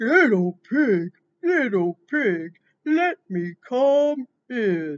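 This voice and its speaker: A put-on character voice, fairly high in pitch, with very wide pitch swings and a very slow pace. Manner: gruff, menacing.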